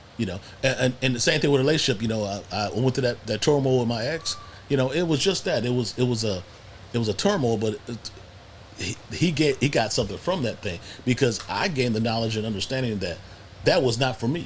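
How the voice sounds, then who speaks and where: Over noticeable background noise, a man talks at a very fast pace with lively intonation and medium pitch. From US Midwest, Cleveland, Ohio. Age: 60s. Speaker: podcast guest. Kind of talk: casual chat. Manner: halting, frequent repetitions.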